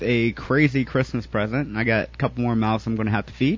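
An ordinary speaking voice carries fairly even intonation. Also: man. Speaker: podcast co-host. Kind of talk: casual chat.

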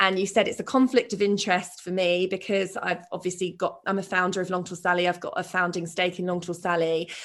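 With a British accent, a woman talks at a fairly quick pace and hardly any pauses. Her medium-pitched voice holds a monotone, flat intonation. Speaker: podcast host and shoe brand founder. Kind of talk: interview conversation.

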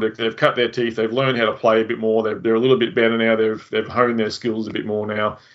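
A man with an Australian accent speaks in a monotone, flat intonation. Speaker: podcast host. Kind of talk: casual interview chat.

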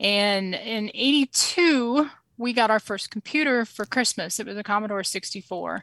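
An unremarkable speaking voice, in an American accent, moves at a fairly slow pace with ordinary pitch variation. The sound is dry and close, with no echo. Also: woman, fairly high pitch for a woman. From Springfield, Missouri. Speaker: small business owner. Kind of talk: casual interview.

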